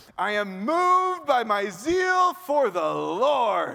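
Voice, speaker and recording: In a put-on character voice, a man projects loudly at an extremely high pitch, swinging very widely in pitch while moving at a very slow pace. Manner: fervent, zealous.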